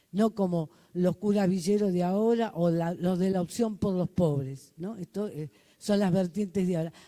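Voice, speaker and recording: Here a woman speaks in a dark, mellow tone at a medium pitch. Her pace is moderate and her pitch varies in an ordinary way. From Argentina, Buenos Aires. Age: 70s. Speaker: community leader. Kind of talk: testimony.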